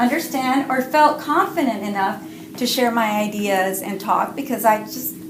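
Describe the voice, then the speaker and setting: Lively and high-pitched, a woman speaks amid noticeable background noise and audible room echo. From Cuba. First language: Spanish. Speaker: writer and parent educator. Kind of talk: interview.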